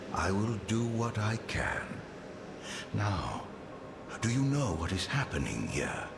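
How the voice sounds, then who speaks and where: A put-on character voice goes at a fairly slow pace with clear echo and loud background noise. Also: man, medium pitch for a man. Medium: machinima. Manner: haughty, formal.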